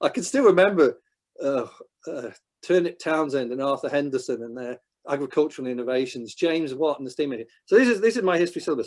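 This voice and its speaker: A man speaks very fast in a northwest English accent with a fairly high pitch. His intonation is lively and his loudness swings widely. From England, northwest. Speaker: historian. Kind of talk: Q&A after a talk.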